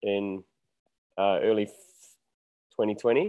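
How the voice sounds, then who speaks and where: A man with a New Zealand accent talks at a fairly slow pace. His intonation is fairly even over a quiet background. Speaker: musician. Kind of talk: casual interview.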